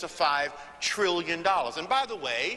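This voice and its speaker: Noticeable background noise sits under the recording. A man with an American accent talks very fast at a high pitch. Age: 60s. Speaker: motivational speaker on business networking. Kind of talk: panel speech. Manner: emphatic oratory.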